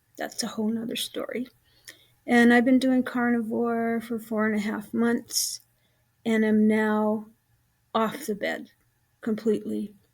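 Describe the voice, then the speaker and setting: A somewhat breathy woman speaks fairly slowly in a fairly high, monotone voice, leaving long, frequent pauses. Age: 70s. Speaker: health vlogger with chronic illness. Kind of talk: casual vlog monologue. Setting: at home. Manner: halting, many filler words.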